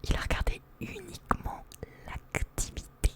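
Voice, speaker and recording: A woman whispers over noticeable background noise. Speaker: streamer. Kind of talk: live gaming stream with chat. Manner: whispered.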